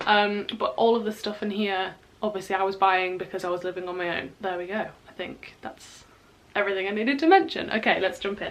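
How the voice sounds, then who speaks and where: This woman has a British accent and a medium pitch. She talks at a fairly quick pace with fairly even intonation over noticeable background noise. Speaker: university student YouTuber. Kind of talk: casual vlog reaction. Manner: rambling, chatty with fillers.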